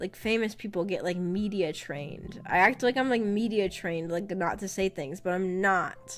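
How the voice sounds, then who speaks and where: A woman's fairly unhurried speech, with normal rises and falls in pitch, comes over background music. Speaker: VTuber streamer. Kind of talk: casual chat. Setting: live stream.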